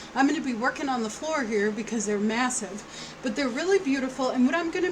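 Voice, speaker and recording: Loud and high-pitched, a woman speaks over noticeable background noise with audible room echo. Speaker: craft tutorial YouTuber. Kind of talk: tutorial. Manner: casual, chatty.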